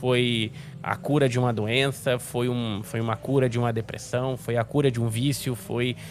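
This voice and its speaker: With noticeable background noise behind him, a man speaks at a medium pitch and a moderate pace, his intonation fairly even. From Rio de Janeiro, Brazil. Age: 30s. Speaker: sim racing commentator. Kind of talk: casual interview. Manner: halting.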